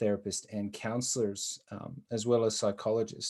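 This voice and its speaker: The speaker is a man with an American accent. His voice sits at a medium pitch. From United States. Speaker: social worker and business owner. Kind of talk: conference presentation.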